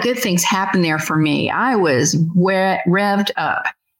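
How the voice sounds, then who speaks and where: Using an American accent, a woman talks at a fairly slow pace and a medium pitch. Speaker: podcast host interviewing creators. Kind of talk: interview conversation.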